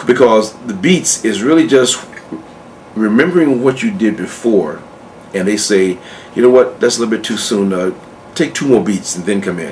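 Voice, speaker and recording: Over noticeable background noise, a man with a medium pitch speaks at a moderate pace, using lively intonation and long, frequent pauses. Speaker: acting coach. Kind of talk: tutorial. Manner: halting, repeated words.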